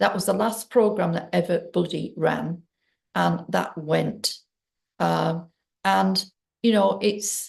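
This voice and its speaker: Against a quiet background, a woman speaks at a very slow pace. She leaves long, frequent pauses. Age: 60s. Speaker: trauma healing coach and abuse survivor. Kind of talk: personal testimony to camera. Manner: halting, with many fillers.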